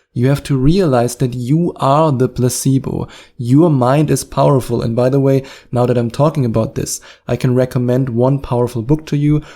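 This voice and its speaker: A man with a German accent, medium-pitched, with a dark, mellow tone, fairly even intonation and a moderate pace. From Germany. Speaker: hypnotherapist and podcast host. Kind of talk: podcast advice monologue. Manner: direct, encouraging.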